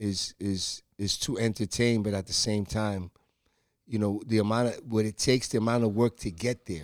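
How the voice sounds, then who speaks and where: Recorded with a dry, close sound and no echo, a man speaks in a plain, everyday voice, pitched fairly low, with fairly even intonation. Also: moderate pace. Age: 50s. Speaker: rapper. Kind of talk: casual chat.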